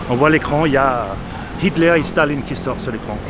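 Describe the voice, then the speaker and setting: A man talks over noticeable background noise. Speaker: expat interviewee. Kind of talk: interview. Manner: halting, many repetitions.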